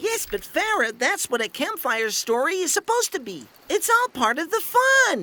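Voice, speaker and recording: A cartoonish character voice at an extremely high pitch, with very wide pitch swings and a moderate pace. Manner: playful.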